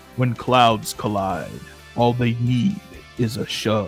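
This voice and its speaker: Clear music plays behind a man doing a put-on character voice at a very slow pace. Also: medium pitch for a man. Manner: hyped, dramatic.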